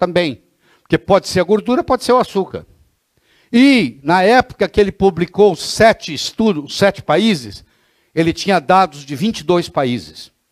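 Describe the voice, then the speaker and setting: A man speaks at a moderate pace in an animated tone, with ordinary pitch variation. The recording is very clean, with a silent background and a dry, close sound with no echo. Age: 60s. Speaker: physician lecturer. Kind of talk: lecture. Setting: classroom with audience.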